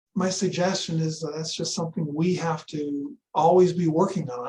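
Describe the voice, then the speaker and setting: This man's voice sits high in pitch. Its rise and fall is ordinary. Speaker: real estate trainer. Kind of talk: lecture. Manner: soft and calm; rarely yells, low-key.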